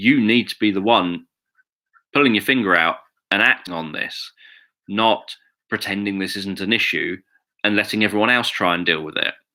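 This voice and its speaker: A man with a British accent, fairly low in pitch and bright, sharp in tone, at a moderate pace with long, frequent pauses, on a very clean recording with a silent background. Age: 40s. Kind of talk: live video monologue. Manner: monotone.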